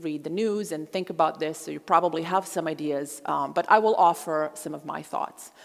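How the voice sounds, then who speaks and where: Speaking at a moderate pace with a Croatian accent, a woman shows ordinary pitch variation. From Croatia, Zagreb. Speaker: historian and genocide scholar. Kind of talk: public lecture.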